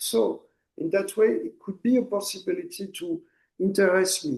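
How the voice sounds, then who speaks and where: A man with a French accent at a moderate pace. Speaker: poet and artist. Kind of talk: interview. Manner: halting, repeats words.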